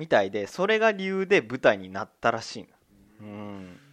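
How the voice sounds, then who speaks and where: A man speaks at a moderate pace with very wide pitch swings. The sound is dry and close with no echo, over a quiet background. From Tokyo, Higashimurayama. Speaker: podcast co-host. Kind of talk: casual chat.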